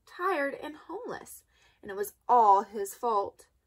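Someone does plain reading aloud.

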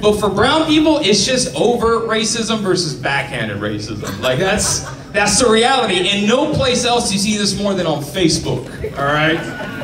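A high-pitched man talks in an animated tone at a moderate pace with very wide pitch swings and hardly any pauses, while noticeable background noise carries on. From Mexican-American, US. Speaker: stand-up comedian. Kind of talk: stand-up comedy. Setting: stage with audience. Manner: animated, punchy, conversational delivery with comic pauses. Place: stage.

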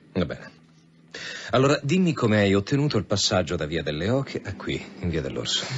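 Putting on a character voice, a man talks at a fairly quick pace in a low pitch with a slightly husky edge and lively intonation.

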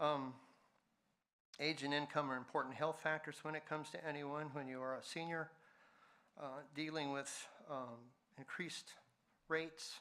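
Man with a fairly high pitch and a bright, sharp tone, monotone, flat intonation, a moderate pace and long, frequent pauses, on a very clean recording with a silent background. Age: 70s. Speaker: public commenter at city council. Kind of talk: public comment. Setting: city council meeting. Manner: halting.

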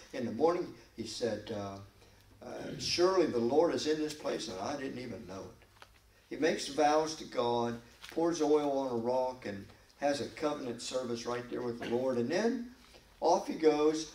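Moderate-paced speech with big swings in loudness, ordinary pitch variation and audible room echo. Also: man. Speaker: pastor. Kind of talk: Bible study sermon. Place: church. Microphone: podium.

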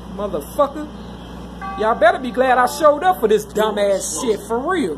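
Noticeable background noise behind a moderate pace in an American accent. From Chicago. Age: 50s. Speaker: vlogger. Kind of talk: personal vlog monologue. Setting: on a train, announcements in background. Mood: agitated, ranting. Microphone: phone near.

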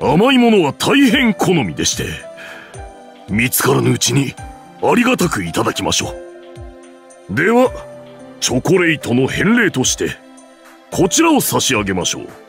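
With clear music in the background, a man does a put-on character voice at a high pitch and moderate pace. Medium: dub. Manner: formal, polite.

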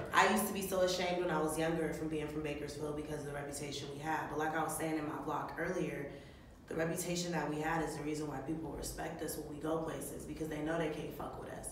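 This woman has a very deep, low pitch and speaks at a very fast pace. Audible room echo and light background noise sit around her voice. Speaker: vlogger, comedian. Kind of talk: casual slang, profane. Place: home room. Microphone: camera far.

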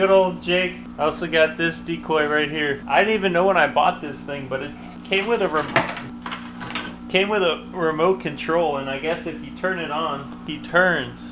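Moderate-paced male speech over music in the background. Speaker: outdoor vlogger. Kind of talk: casual vlog chat. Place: garage. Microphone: phone near.

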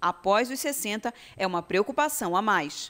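A plain, everyday voice carries lively intonation. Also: woman. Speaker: TV news reporter. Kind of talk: news reading. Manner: formal.

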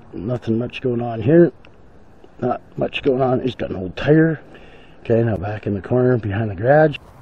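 A somewhat breathy voice at a moderate pace, with ordinary pitch variation and a dry sound with no echo. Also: man. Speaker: vlogger. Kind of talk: casual vlog chat, hushed. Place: garden. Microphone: phone near.

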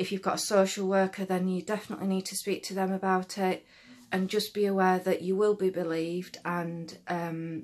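Her intonation monotone and flat, a woman speaks at a moderate pace. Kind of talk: casual vlog chat, advice. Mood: serious, earnest. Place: home room. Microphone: phone near.

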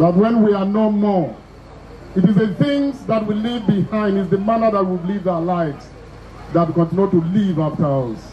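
A man speaks at a moderate pace in a high pitch, with ordinary pitch variation and light background noise. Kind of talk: formal speech. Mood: solemn, condolatory. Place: stage. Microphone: handheld.

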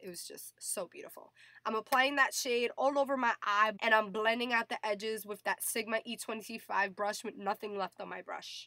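With hardly any pauses, a woman with a fairly high pitch and a bright, sharp tone speaks at a moderate pace, her intonation fairly even but her loudness swinging widely, in a dry, close sound with no echo. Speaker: beauty vlogger. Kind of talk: makeup tutorial voice-over.

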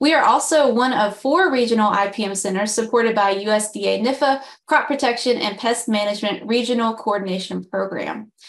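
A woman speaks at a moderate pace with hardly any pauses. Her pitch is fairly high, with ordinary pitch variation. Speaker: communications director, webinar host. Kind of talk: webinar introduction. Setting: video call. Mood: friendly, upbeat. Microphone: webcam.

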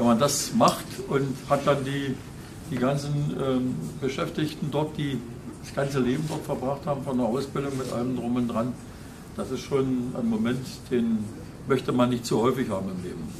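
There is noticeable background noise as a man talks at a moderate pace. He leaves long, frequent pauses. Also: ordinary pitch variation. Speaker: visiting politician. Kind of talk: informal speech to workers. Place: hall. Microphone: camera far.

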